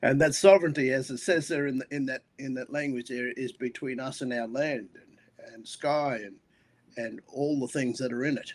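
Here a man of medium pitch speaks with an Australian accent. His intonation is fairly even, though his loudness swings widely. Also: moderate pace. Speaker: pastor. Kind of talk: casual interview conversation. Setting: video call.

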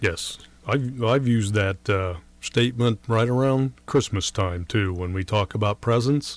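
A man with an American accent speaks in a normal speaking voice. His pitch is medium and his pace fairly slow. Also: ordinary pitch variation. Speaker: radio co-host. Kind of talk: casual chat.

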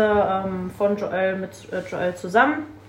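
Room echo is audible, and there is noticeable background noise. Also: woman. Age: 20s. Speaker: fitness coach. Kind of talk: casual chat.

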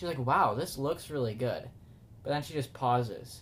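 At a moderate pace, a man with an American accent speaks at a fairly high pitch, somewhat breathy. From US Midwest. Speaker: podcast co-host. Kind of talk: casual chat.

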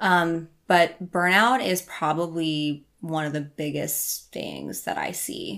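On a very clean recording with a silent background, a woman talks in a fairly low pitch at a very slow pace, with hardly any pauses. Her pitch variation is ordinary, while her loudness swings a lot. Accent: American. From Iowa, US Midwest. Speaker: life and health coach. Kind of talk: casual interview.

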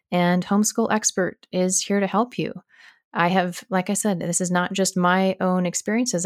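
In a very clean recording with a silent background and a dry, close sound with no echo, a woman with an American accent uses an ordinary speaking voice at medium pitch and a moderate pace. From Arizona, US. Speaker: podcast host, homeschool educator. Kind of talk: casual monologue answering listener questions.

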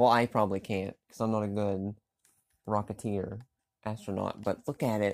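A man with a fairly low pitch talks at a moderate pace on a very clean recording with a silent background. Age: 40s. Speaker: gaming podcaster. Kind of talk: casual gameplay commentary.

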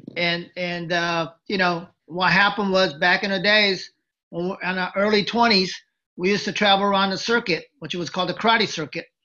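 A man's high, raised, projected voice with a bright, sharp tone, fairly even intonation and a moderate pace against a quiet background. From Japan (Tokyo), moved to US at 11. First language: Japanese. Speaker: former wrestling manager. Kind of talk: interview. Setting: video call.

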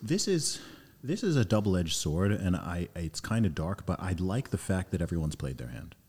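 A man's very deep, low voice with vocal fry and lively intonation, at a fairly quick pace. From Saudi Arabia, Nigerian family, British-born. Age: 30s. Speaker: rapper and public speaker. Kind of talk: casual podcast interview. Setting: studio in London.

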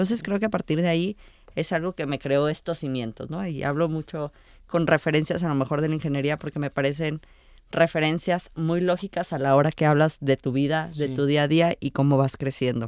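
Fairly quick in pace, a woman speaks with a very deep, low pitch in a very clean recording with a silent background. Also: ordinary pitch variation. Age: 20s. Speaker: local politician and civil engineer. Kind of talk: interview.

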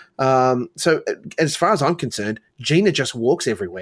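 The recording is very clean with a silent background and a dry, close sound with no echo. A man with an Australian accent speaks at a fairly high pitch. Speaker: podcast host. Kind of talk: casual chat.

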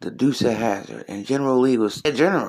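A man with an American accent speaks at a fairly quick pace in a medium pitch, an ordinary speaking voice. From US Northeast (Trenton, New Jersey). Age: 40s. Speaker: comedian and podcast host. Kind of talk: casual solo commentary.

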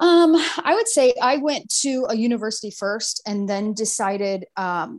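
A woman with an American accent speaks in an ordinary speaking voice, fairly high in pitch, with lively intonation. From US Midwest, small-town Ohio. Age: 30s. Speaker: entrepreneur. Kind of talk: podcast interview.

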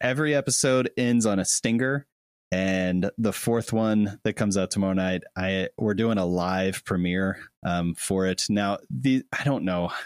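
Recorded very cleanly against a silent background with a dry, close sound and no echo, a man with an unremarkable speaking voice talks in a fairly low pitch with ordinary pitch variation. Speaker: YouTube creator and guest. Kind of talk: casual interview chat. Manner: friendly, self-deprecating.

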